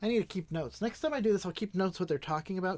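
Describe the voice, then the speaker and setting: Medium in pitch, a woman talks at a very fast pace with ordinary pitch variation. The background is quiet. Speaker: political commentator streamer. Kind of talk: live stream commentary. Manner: casual, conversational.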